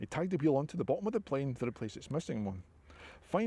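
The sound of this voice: The speaker reads in an unforced voice.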